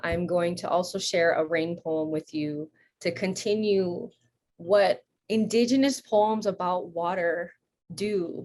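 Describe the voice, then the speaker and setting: At a very slow pace, a woman talks with a fairly low pitch and ordinary pitch variation. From Hawaii. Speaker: poet, educator. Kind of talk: poetry reading introduction. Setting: home, remote video call.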